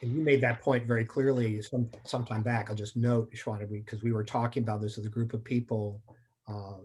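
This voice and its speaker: Somewhat breathy and at a medium pitch, the man speaks in a monotone, flat intonation. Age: 60s. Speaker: diversity and inclusion speaker. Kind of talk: panel discussion.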